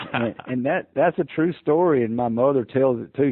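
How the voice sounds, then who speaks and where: Speaking with a Southern US accent, the man uses lively intonation. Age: 60s. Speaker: hunting call maker and hunter. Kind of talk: interview storytelling. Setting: podcast interview. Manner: hesitant, many fillers.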